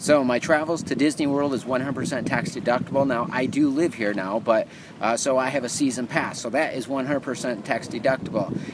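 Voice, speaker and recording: A man talks at a moderate pace with ordinary pitch variation and hardly any pauses. Noticeable background noise is present, and the sound is dry with no echo. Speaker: vlogger promoting a program. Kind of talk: casual vlog chat. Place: beach. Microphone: phone near.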